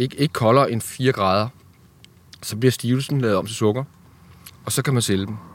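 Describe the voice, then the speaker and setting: Speaking with a medium pitch, a man keeps a moderate pace and ordinary pitch variation. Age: 50s. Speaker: fruit grower. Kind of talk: casual interview.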